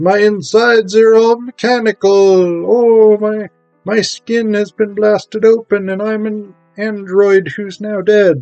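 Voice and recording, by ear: A man's high-pitched put-on character voice at a fairly slow pace, with faint music in the background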